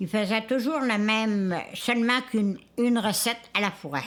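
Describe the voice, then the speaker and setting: In a very clean recording with a silent background, a woman talks at a very slow pace in a fairly high pitch, with ordinary pitch variation. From Quebec, Isle-aux-Coudres (Charlevoix). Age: 90s. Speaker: elderly islander sharing food traditions. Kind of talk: oral history interview.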